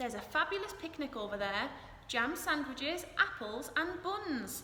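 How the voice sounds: This is a put-on character voice with a bright, sharp tone. It moves at a fairly slow pace with big pitch swings. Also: woman, high pitch for a woman.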